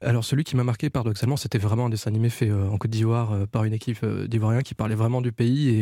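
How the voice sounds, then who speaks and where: A man's fairly low voice, very fast, with fairly even intonation. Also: very clean recording, silent background. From Ivory Coast and France. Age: 40s. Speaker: animation producer. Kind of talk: casual chat. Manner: halting.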